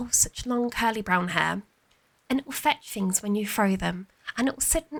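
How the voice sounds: What you hear is a natural reading voice.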